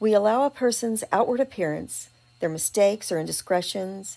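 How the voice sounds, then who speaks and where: The speaker has a Texas accent and a dark, mellow tone. The pace is moderate. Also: woman. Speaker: blogger. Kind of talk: reading aloud.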